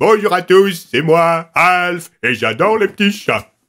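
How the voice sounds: A man puts on a character voice pitched high for a man. He talks at a fairly slow pace.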